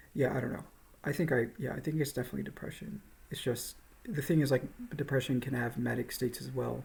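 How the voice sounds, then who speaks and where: A man's medium-pitched voice with vocal fry, at a very fast pace. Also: ordinary pitch variation. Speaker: video blogger. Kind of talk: personal vlog monologue. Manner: halting, many fillers.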